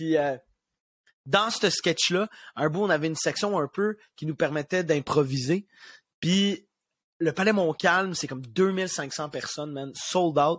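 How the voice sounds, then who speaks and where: With a Quebec accent, a man speaks very slowly with long, frequent pauses, at a fairly high pitch and ordinary pitch variation, in a dry, close sound with no echo. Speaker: comedian. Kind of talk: casual chat. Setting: video call. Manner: animated.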